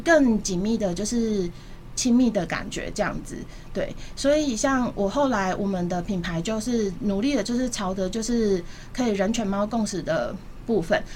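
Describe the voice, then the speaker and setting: Somewhat breathy, fairly high-pitched woman's voice at a moderate pace, with ordinary pitch variation and audible room echo. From Taipei, Taiwan. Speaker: pet food entrepreneur. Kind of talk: radio interview.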